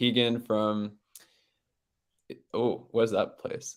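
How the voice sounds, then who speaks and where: With an Australian accent, a man speaks fairly slowly at a medium pitch. His intonation stays monotone and flat. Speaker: event host. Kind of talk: casual chat.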